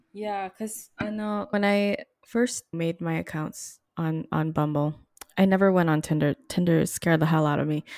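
The recording is very clean, with a silent background. A woman with a fairly low pitch speaks at a moderate pace with ordinary pitch variation. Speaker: podcast host and producer. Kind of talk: casual conversational interview. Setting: radio studio. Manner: loud.

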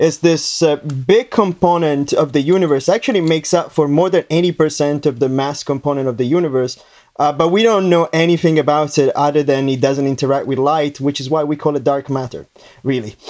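This man talks at a fairly quick pace in a fairly high pitch. It is a normal speaking voice with ordinary pitch variation. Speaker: scientist, dark matter researcher. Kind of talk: casual explanation of science.

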